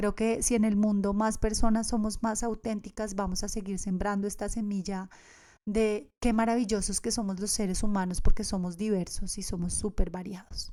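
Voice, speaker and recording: A woman speaks at a moderate pace in a medium pitch with a dark, mellow tone. Her intonation stays monotone and flat. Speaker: podcast host, yoga teacher. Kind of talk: podcast monologue.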